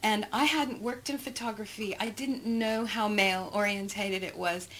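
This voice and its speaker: Speaking with an American accent, a woman keeps a medium pitch and a moderate pace. Noticeable background noise runs underneath. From Texas. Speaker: photography representative and producer. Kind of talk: interview conversation. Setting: quiet room at a private club.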